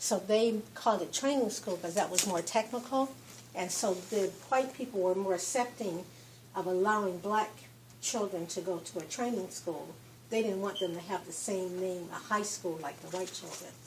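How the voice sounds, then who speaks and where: A woman speaks with medium pitch and ordinary pitch variation. She has an ordinary speaking voice. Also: moderate pace. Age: 60s. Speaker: visitor on a history tour. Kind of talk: casual chat.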